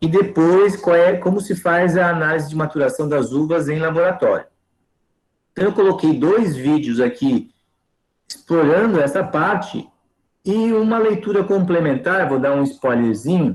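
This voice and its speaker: The speaker's intonation is lively and the pace moderate. Loudness stays very even throughout. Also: man, high pitch for a man. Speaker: teacher. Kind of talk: online lecture.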